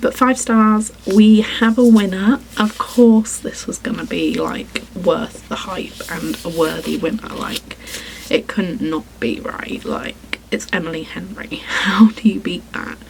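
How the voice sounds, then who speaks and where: Over noticeable background noise, a woman speaks very slowly at a fairly high pitch with ordinary pitch variation. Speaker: book vlogger. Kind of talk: casual vlog talk. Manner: chatty, filler-heavy.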